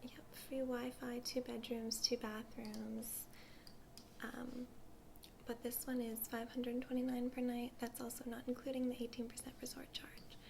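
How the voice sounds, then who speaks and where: Someone whispers, soft-spoken, at a moderate pace. Noticeable background noise sits behind the voice. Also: woman. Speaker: ASMR artist doing a travel agent role play. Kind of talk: ASMR role play, customer service talk. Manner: soft-spoken, whispery.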